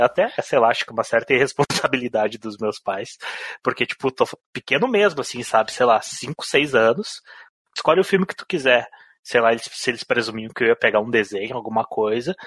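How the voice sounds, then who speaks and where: In a dry, close sound with no echo, a man with an unremarkable speaking voice talks at a fairly quick pace and medium pitch, his intonation lively. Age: 30s. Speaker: podcast co-host. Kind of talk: casual chat.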